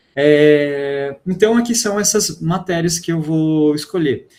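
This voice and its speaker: This man's pitch sits fairly high, and its variation is ordinary. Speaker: physics teacher. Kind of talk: online class lecture.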